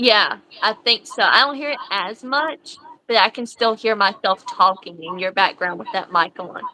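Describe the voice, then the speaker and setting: With an American accent, a woman speaks at a fairly high pitch with lively intonation. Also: moderate pace, big swings in loudness. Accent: thick country. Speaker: livestream host. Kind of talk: casual livestream chat. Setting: livestream.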